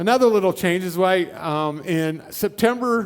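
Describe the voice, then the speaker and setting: With a Midwestern US accent, a man talks at a moderate pace in a high pitch, on a very clean recording with a silent background. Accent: US Midwest. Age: 60s. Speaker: guest preacher. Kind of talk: sermon. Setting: church.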